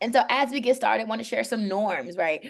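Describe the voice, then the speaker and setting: A woman with an American accent talks at a very fast pace, her fairly high voice showing vocal fry and lively intonation. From New York. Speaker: educator, professional learning lead. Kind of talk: online workshop presentation. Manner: urgent.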